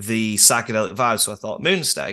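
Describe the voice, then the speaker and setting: A man speaks with a northern English accent in a bright, sharp tone. The background is quiet. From northern England. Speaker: musician. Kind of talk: casual chat.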